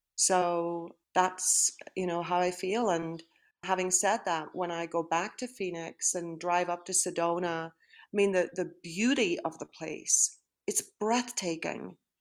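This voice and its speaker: A woman's fairly low voice in a Northern Irish accent, fairly even in intonation, on a very clean recording with a silent background. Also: fairly slow pace. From Northern Ireland. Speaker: retired high school principal. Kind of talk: interview.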